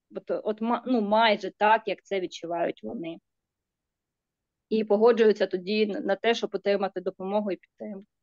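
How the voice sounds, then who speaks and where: A woman with a Ukrainian accent talks at a fairly quick pace and medium pitch. Her intonation is fairly even, and the sound is dry and close with no echo. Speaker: psychologist. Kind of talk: Q&A discussion. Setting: video call.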